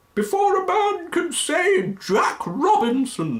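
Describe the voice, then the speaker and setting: A man does a put-on character voice at an extremely high pitch. He speaks at a fairly slow pace. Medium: read story. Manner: jovial, hearty.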